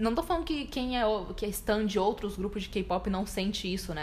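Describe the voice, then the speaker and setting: This is a woman speaking at a medium pitch. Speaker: podcast co-host. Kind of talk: casual chat. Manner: animated.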